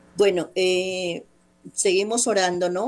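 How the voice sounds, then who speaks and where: A woman has a normal speaking voice. Her pitch sits fairly low, with fairly even intonation. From Colombia, Bogotá. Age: 60s. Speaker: guest sharing personal faith testimony. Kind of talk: personal testimony on radio.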